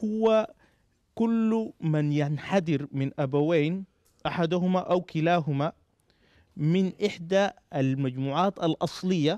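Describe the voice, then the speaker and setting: A man with a high pitch and a dark, mellow tone speaks very slowly, with ordinary pitch variation and very even loudness. The sound is dry with no echo, over a quiet background. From Sudan. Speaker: political party representative; speaker. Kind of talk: panel discussion. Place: hall. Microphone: handheld.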